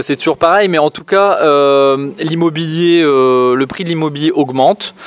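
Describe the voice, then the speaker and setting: A man with a slight northern French accent, fairly high pitch and moderate pace, over noticeable background noise. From northern France. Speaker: property investor. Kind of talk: casual interview chat.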